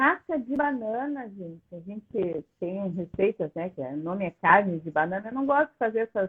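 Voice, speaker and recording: A woman speaks at a moderate pace and medium pitch. Her pitch swings very widely and her loudness shifts a lot. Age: 60s. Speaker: plant-based food educator. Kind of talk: live video chat.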